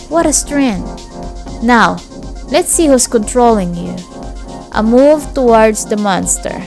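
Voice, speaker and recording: A woman with a non-native accent speaks at a very slow pace, leaving long, frequent pauses. Her intonation is lively, and music plays in the background. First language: not English. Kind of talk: audiobook-style story reading.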